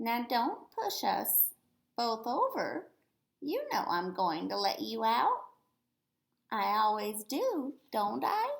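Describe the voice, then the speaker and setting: A woman uses a put-on character voice at a very slow pace. Long, frequent pauses break up her speech. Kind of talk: classroom read-aloud. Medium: read story. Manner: fond, chatty, gently scolding.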